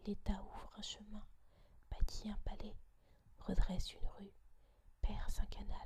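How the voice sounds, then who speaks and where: A woman whispers at a fairly slow pace, with long, frequent pauses. Her loudness swings widely. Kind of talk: audiobook reading of a classic essay. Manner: whispered.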